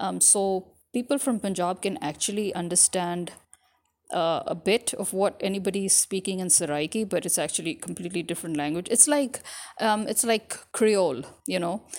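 Speaking with an American accent, a woman uses lively intonation at a medium pitch and a moderate pace. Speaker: podcaster. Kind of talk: casual monologue to audience.

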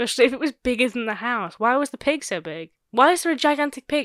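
On a very clean recording with a silent background, dry and close with no echo, a woman talks in a high voice at a very fast pace with hardly any pauses and big swings in loudness. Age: 20s. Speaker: podcast co-host. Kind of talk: casual chat.

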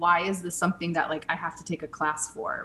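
Monotone, flat intonation from a woman at a fairly low pitch, with noticeable background noise. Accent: American. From US Midwest, St. Louis. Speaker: author and former actor. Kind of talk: interview.

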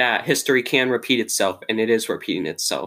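The man's tone is bright and sharp, on a very clean recording with a silent background. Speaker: podcast host. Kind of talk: interview. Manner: halting, stuttering.

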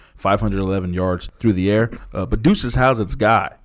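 With a normal speaking voice, a man talks at a fairly quick pace and a fairly low pitch, keeping his intonation fairly even. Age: 40s. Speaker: sports history podcast host. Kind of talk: casual chat.

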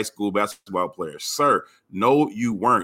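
A man's bright, sharp tone with ordinary pitch variation, captured on a very clean recording with a silent background. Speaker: podcast guest, sports figure. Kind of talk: casual chat.

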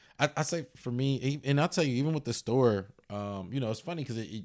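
On a very clean recording with a silent background, a man speaks at a medium pitch and fairly quick pace, with ordinary pitch variation. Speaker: comedian. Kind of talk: casual chat. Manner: halting, filler-heavy.

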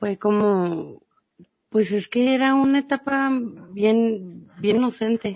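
This woman's fairly high voice moves at a very slow pace. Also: ordinary pitch variation. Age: 30s. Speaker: mother and school friend of host. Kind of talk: casual chat.

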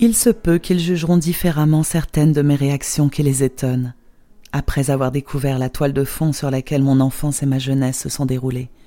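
A woman speaks with a very deep, low pitch and a dark, mellow tone. Her pace is moderate, with ordinary pitch variation. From Poland. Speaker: memoir author. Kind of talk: memoir narration.

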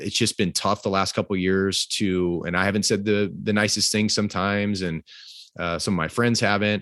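In a quiet background with a dry, close sound and no echo, a man with an American accent speaks at a fairly quick pace in a fairly low pitch, his intonation monotone and flat and his loudness very even. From Fresno, California. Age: 40s. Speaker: baseball hitting coach and author. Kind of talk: interview.

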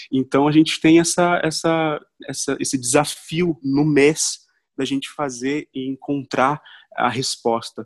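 A man's fairly high voice at a very slow pace, fairly even intonation, dry, close sound with no echo and a quiet background. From Brazil, Londrina, Paraná. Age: 20s. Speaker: musician and songwriter. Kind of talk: casual interview. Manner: halting, many repetitions.

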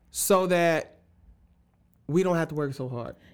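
The speech moves at a very slow pace with lively intonation. The recording is very clean, with a silent background. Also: man. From Jacksonville, Florida. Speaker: church band director and worship musician. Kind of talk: casual chat.

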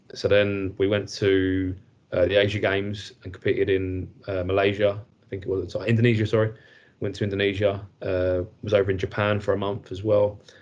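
A man with an English accent speaks at a fairly quick pace in a monotone, flat intonation. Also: fairly low pitch for a man. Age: 30s. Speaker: football goalkeeper coach. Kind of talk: casual chat.

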